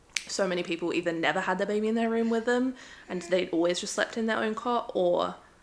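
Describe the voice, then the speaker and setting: A woman talks at a very fast pace with a medium pitch and ordinary pitch variation. Noticeable background noise sits behind her. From Adelaide, Australia. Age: 20s. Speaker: vlogger, new mother. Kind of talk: casual vlog talk to camera.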